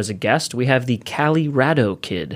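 With an unremarkable speaking voice, a man talks fairly slowly at a medium pitch with ordinary pitch variation. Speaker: podcast host. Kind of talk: casual chat.

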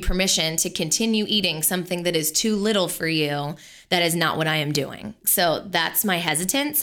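A woman is speaking. Her tone is bright and sharp. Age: 30s. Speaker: nutritional therapist and podcast co-host. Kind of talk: casual chat with health advice.

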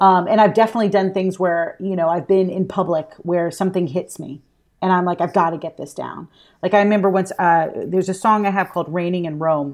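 A woman's medium-pitched voice with an American accent, at a fairly quick pace and with fairly even intonation, on a very clean recording with a silent background. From Alabama. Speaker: actress and singer-songwriter. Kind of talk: casual chat.

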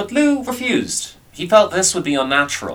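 A man with an Irish accent speaks in a bright, sharp tone, his pitch swinging very widely, with vocal fry. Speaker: storyteller. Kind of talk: folklore storytelling. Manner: animated, wry, conversational storyteller's delivery.

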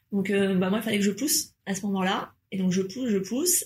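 A woman's somewhat breathy voice sits at a medium pitch with ordinary pitch variation. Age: 30s. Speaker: mother. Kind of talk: casual chat.

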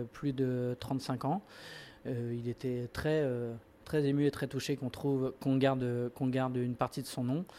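Here a man speaks at a medium pitch in a dark, mellow tone. His delivery is fairly slow, with monotone, flat intonation. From Burgundy, France. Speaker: restaurant and deli founder. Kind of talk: interview.

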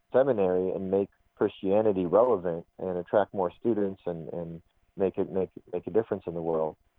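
A man with an ordinary speaking voice and an American accent talks at a fairly quick pace and a fairly low pitch, with fairly even intonation. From Arizona, US. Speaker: Islamic college president. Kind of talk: interview. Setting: phone call.

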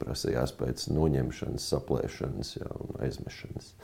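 A man speaks with vocal fry and a dark, mellow tone, his pitch varying in an ordinary way. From Latvia, Kurzeme (Kuldīga). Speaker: pastor and military chaplain. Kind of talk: interview. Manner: hesitant, many fillers.

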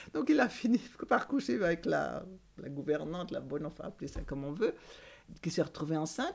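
Speaking at a fairly quick pace with long, frequent pauses, a woman with a fairly low pitch and vocal fry moves through very wide pitch swings. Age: 70s. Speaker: building caretaker. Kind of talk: casual chat. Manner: halting.

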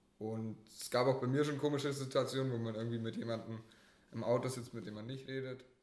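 A man's medium-pitched voice at a very fast pace, fairly even in intonation, with big swings in loudness and audible room echo. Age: 20s. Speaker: hitchhiker. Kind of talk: casual interview.

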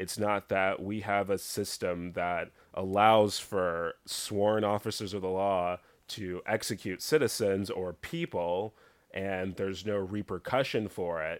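Recorded very cleanly against a silent background, a man with a fairly low pitch speaks in a normal speaking voice. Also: fairly slow pace. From Texas (Dallas). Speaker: podcast guest. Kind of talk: casual chat.

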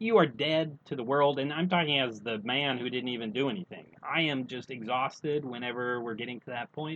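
A man with an American accent and an ordinary speaking voice talks at a fairly quick pace with hardly any pauses, at a medium pitch with ordinary pitch variation. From United States. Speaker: podcast co-host. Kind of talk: casual chat.

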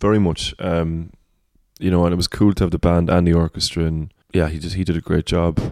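A man with a Cork accent talks at a very fast pace in a very deep, low voice with a dark, mellow tone. His intonation is monotone and flat, on a very clean recording with a silent background. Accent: Cork Irish. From Ireland, Cork. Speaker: singer-songwriter. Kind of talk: casual chat. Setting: at home.

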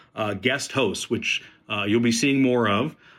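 A man with an American accent talks at a fairly quick pace in a normal speaking voice, medium in pitch with ordinary pitch variation. The recording is very clean, with a silent background. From Southern California. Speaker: podcast host. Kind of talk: show intro; interview. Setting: outdoors at golf event.

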